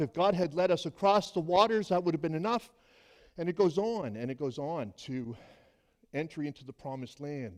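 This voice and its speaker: A normal speaking voice at a fairly quick pace, with ordinary pitch variation, in a very clean recording over a silent background. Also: man. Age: 60s. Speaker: pastor. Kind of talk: sermon.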